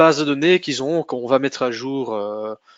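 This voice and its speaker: A man is speaking. His intonation is lively. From Flanders, Belgium. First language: Dutch (speaking French). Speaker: sales manager presenting a tech webinar. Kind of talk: technical webinar presentation. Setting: online webinar. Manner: halting, many hesitations.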